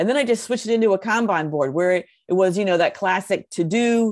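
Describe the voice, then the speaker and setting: Heard over a silent background in a very clean recording is an ordinary speaking voice. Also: woman. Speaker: podcast co-host. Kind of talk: podcast conversation.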